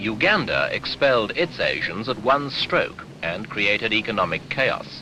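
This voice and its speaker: Music plays in the background while a man talks at a fairly slow pace with hardly any pauses. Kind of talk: newsreel narration.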